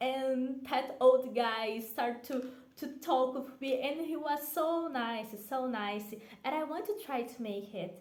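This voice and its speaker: Speaking at a very slow pace yet with hardly any pauses, a woman with a Brazilian accent uses a high pitch with ordinary variation. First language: Portuguese. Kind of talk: casual talk to camera.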